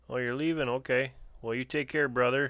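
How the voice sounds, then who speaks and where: Over a silent background in a very clean recording, a man with a Canadian accent talks in a relaxed, bright, sharp tone at medium pitch with fairly even intonation. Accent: sounds Canadian. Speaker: homesteading livestream host. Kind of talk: live stream chat with viewers. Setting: live stream. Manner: casual, relaxed.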